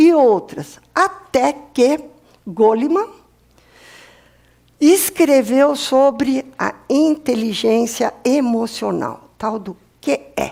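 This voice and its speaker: A woman speaks very slowly in a high, dark, mellow voice. She leaves long, frequent pauses. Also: lively intonation. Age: 60s. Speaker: professor. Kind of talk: lecture.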